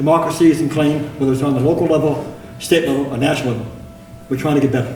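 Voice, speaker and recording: A man with a fairly high pitch talks at a very fast pace amid noticeable background noise and audible room echo. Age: 70s. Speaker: city councilor. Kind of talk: council meeting speech. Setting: council chambers.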